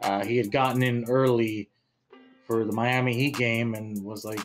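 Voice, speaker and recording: A man speaks with monotone, flat intonation. Faint music plays in the background. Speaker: sports show host. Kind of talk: sports commentary. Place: home room. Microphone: studio mic.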